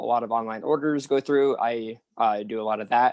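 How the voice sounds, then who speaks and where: An unremarkable speaking voice with an American accent. The intonation stays fairly even. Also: man. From US West (Arizona, California). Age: 20s. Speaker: retail worker, film cast member. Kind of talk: panel discussion.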